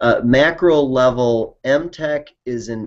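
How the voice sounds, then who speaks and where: This man talks at a medium pitch with an Upper Midwest accent and ordinary pitch variation. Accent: Upper Midwest American. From Wisconsin, US. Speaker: company CEO. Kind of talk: interview. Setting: video call.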